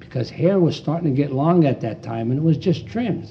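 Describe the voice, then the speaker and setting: There is noticeable background noise as a man speaks. He has an American accent and a fairly quick pace. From Pennsylvania. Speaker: barber. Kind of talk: casual interview chat. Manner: animated.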